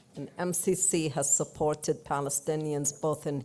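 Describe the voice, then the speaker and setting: A dark, mellow tone at a fairly slow pace. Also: woman. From Palestine, Jerusalem. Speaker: church delegate. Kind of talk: speech.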